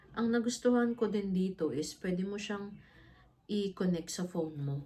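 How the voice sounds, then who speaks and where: This woman's voice has a dark, mellow tone, somewhat breathy, pitched in the middle range with ordinary variation and delivered at a moderate pace. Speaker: vlogger. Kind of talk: casual unboxing vlog.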